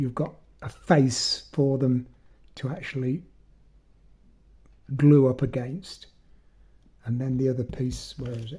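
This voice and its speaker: Somewhat breathy and dark, mellow in tone, a man's medium-pitched voice comes with long, frequent pauses. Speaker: magic prop maker. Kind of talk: tutorial. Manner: halting.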